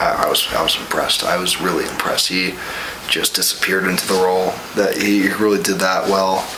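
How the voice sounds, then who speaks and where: A man whispers at a fairly quick pace with very even loudness. Audible room echo and noticeable background noise surround him. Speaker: college student, vlog guest. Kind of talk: casual movie review chat. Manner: halting, many repetitions; whispering.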